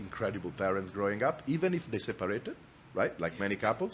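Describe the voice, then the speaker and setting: A man speaks with an Italian accent at a fairly low pitch. His intonation is lively. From Italy, Milan. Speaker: entrepreneur, company founder. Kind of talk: podcast interview. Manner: frequent repetitions and restarts.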